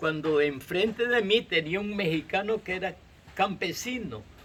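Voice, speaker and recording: This man's voice is raised and projected. His intonation is lively. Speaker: farmer. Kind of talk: interview.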